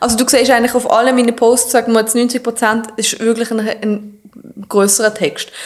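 The speech moves at a moderate pace in a monotone, flat intonation, with noticeable background noise behind it. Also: woman, fairly high pitch for a woman. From Switzerland, Basel. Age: 30s. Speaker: fitness influencer. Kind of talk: casual interview.

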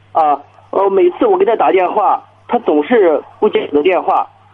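At a fairly slow pace, a man speaks in a high voice with very wide pitch swings. Noticeable background noise is present. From Chinese county town. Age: 30s. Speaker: small business owner. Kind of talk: phone-in call. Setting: phone call. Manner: hesitant, many fillers.

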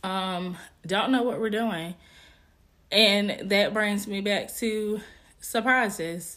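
A woman speaks at a very slow pace with a medium pitch, leaving long, frequent pauses, and audible room echo surrounds her voice. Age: 30s. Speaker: podcast host. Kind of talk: casual monologue. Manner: animated.

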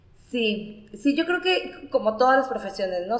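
Fairly slow speech from a woman, noticeable noise in the background. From Nayarit, Mexico. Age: 30s. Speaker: storyteller. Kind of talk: interview.

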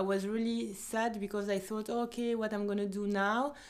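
Over noticeable background noise, a woman speaks at a moderate pace in a fairly high voice with monotone, flat intonation. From Belgium, Ivory Coast family. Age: 30s. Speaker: wedding dress designer. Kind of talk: interview. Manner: halting.

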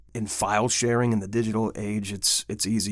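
An ordinary speaking voice moves at a fairly slow pace with fairly even intonation in a very clean recording with a silent background. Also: man. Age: 50s. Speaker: metal band vocalist and podcast host. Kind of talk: casual podcast chat.

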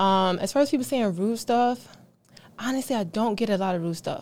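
Against a silent background in a very clean recording, a woman with a plain, everyday voice and an American accent speaks at a moderate pace with ordinary pitch variation. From Philadelphia, US. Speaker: fitness trainer. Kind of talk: casual interview.

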